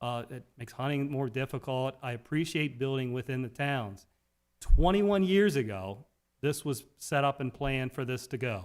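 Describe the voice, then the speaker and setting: A man with an ordinary speaking voice and an American accent, medium pitch, ordinary pitch variation, moderate pace. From Talbot County, Maryland (Eastern Shore). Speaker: county council member. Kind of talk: council meeting remarks.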